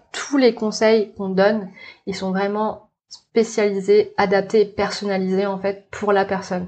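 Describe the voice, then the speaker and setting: With monotone, flat intonation, a woman speaks at a moderate pace. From New Caledonia. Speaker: naturopath and intuitive therapist. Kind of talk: casual interview. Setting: in person studio. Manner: hesitant, many fillers and repetitions.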